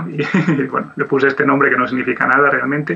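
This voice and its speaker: A man at a medium pitch talks over noticeable background noise. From Asturias, Spain. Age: 40s. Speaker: 2D animator. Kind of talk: interview.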